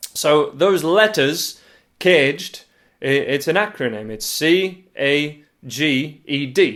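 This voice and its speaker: The speaker talks with a Yorkshire accent at a very slow pace. The intonation is lively. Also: man, fairly high pitch for a man. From northern England, Yorkshire. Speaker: guitar teacher. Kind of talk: tutorial. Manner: casual, hesitant with fillers.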